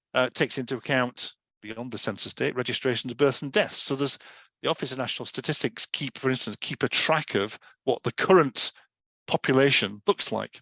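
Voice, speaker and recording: Man with a Yorkshire accent, medium pitch, ordinary pitch variation, a bright, sharp tone, and a fairly quick pace, in a dry, close sound with no echo. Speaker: data adviser giving education session. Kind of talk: informal lecture.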